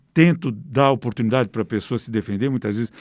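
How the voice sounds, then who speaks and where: A man's normal speaking voice at medium pitch, with ordinary pitch variation, in a dry, close recording free of echo and very clean with a silent background. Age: 60s. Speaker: investigative crime reporter. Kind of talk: interview.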